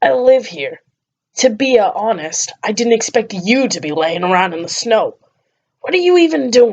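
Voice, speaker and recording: A woman's gruff, put-on character voice, fairly high-pitched, with very wide pitch swings at a moderate pace. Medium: read story. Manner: gruff, blunt, coarse.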